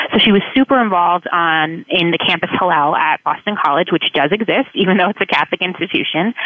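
Over noticeable background noise, a fairly low-pitched woman talks at a very fast pace with hardly any pauses, very even loudness and ordinary pitch variation. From South Florida. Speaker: college admissions counselor. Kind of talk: radio interview.

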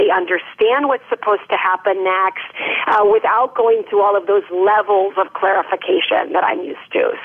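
Over noticeable background noise, the voice speaks with an American accent at a moderate pace with ordinary pitch variation. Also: woman, medium pitch for a woman. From US Midwest, Minnesota. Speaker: professor and author. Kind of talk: interview.

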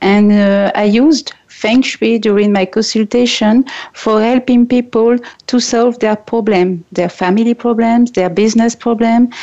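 A woman with a French accent and a dark, mellow tone speaks at a fairly high pitch and fairly slow pace, keeping her loudness very even. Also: fairly even intonation. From France. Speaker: feng shui and ho'oponopono consultant. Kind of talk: interview. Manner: halting, some hesitations.

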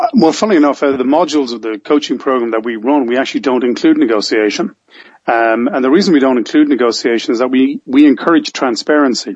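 A man speaks very fast with an Irish accent. His pitch is medium, with ordinary variation. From Ireland. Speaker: business coach and author. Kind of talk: interview conversation.

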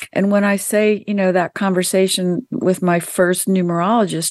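Against a quiet background, a woman with an American accent talks in an unremarkable speaking voice of medium pitch and fairly even intonation. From US South. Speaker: spiritual author and numerologist. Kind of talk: interview. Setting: radio show.

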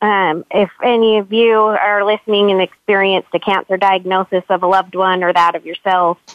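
A woman of medium pitch talks at a moderate pace with fairly even intonation, in an unremarkable speaking voice. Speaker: author. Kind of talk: casual interview. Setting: online call.

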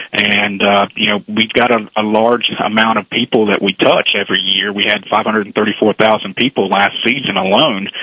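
Heard over noticeable background noise, the voice stays monotone, with flat intonation and very even loudness. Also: man, fairly low pitch for a man, moderate pace. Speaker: baseball league executive. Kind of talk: radio interview.

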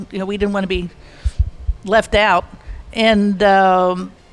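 Music fills the background. A woman talks over it at a medium pitch. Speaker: long-time resort guest. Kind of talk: reminiscing storytelling.

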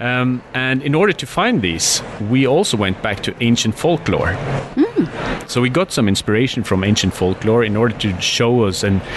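A man speaks at a moderate pace, with medium pitch, lively intonation and very even loudness. Noticeable background noise sits behind him. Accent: Norwegian. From northern Norway. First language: Norwegian. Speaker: skincare entrepreneur. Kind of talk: interview.

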